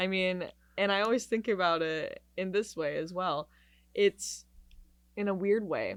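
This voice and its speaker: A woman with an American accent at a fairly slow pace, with long, frequent pauses and fairly even intonation, on a very clean recording with a silent background. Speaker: singer-songwriter and music student. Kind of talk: casual interview chat.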